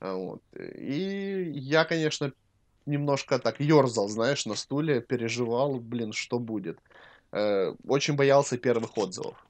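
On a very clean recording with a silent background, a man talks at a very slow pace with lively intonation. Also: medium pitch for a man. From Ukraine. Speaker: podcast co-host and cosmetics maker. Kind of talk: casual chat.

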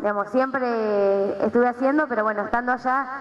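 A woman speaks at a very fast pace. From Argentina, Buenos Aires province (Pehuajó). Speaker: aerobics coach and PE teacher. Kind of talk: workshop talk to audience. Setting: gym with live audience. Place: gym. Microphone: headset.

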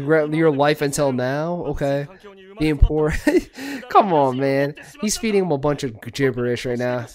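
Light background noise accompanies a man speaking. He keeps a moderate pace with ordinary pitch variation. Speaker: reaction streamer. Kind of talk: casual reaction commentary. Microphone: studio mic.

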